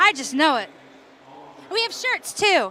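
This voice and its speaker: A woman uses a raised, projected voice with an animated tone. Her pitch swings very widely. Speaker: activist. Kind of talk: interview. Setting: expo floor. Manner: loud.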